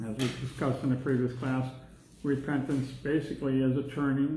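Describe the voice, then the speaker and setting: Monotone, flat intonation from a somewhat breathy man, with audible room echo and light background noise. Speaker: Bible class teacher. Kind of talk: lecture. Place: classroom. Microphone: phone near.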